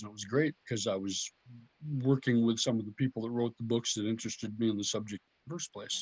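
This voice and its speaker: In a normal speaking voice at medium pitch, a man speaks with ordinary pitch variation and big swings in loudness, the sound dry and close with no echo. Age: 60s. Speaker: herpetologist and biologist. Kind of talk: casual interview chat.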